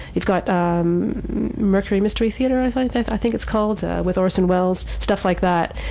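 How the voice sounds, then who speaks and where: Amid noticeable background noise, a woman keeps to a moderate pace. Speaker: radio show host. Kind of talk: radio show hosting, casual.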